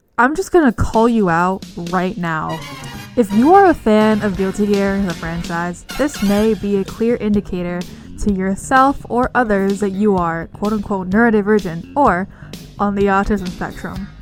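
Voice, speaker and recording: There is music in the background. A woman speaks at medium pitch and a moderate pace with ordinary pitch variation. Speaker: video essayist. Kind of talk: video essay narration.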